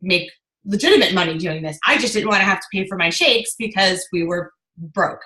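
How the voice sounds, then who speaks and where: A woman's unremarkable speaking voice, medium in pitch, at a fairly quick pace, with ordinary pitch variation and big swings in loudness. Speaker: network marketing coach. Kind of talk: team training call. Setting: video call.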